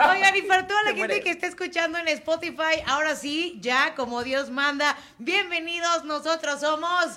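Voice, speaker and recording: A woman speaks in a raised, projected voice at an extremely high pitch, with ordinary pitch variation. She keeps a moderate pace with hardly any pauses. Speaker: podcast co-host. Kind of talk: casual chat. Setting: studio.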